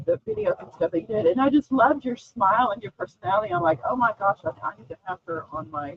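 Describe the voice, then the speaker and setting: Talking with an Oklahoma accent, a woman at medium pitch rushes at a very fast pace with hardly any pauses. Her pitch swings very widely and her loudness rises and falls sharply. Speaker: talk show host. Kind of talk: live-streamed interview.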